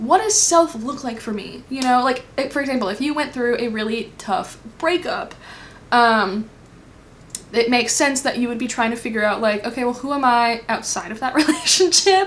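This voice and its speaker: Here a woman speaks with a high pitch and lively intonation. Her pace is moderate. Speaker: tarot reader. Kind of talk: pick a card tarot reading. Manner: casual, filler-heavy.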